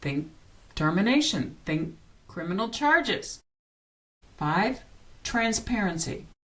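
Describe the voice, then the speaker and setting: A woman with an American accent speaks at a very slow pace and medium pitch, taking long, frequent pauses, her pitch swinging very widely. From northern US. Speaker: political commentary podcaster. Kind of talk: scripted commentary.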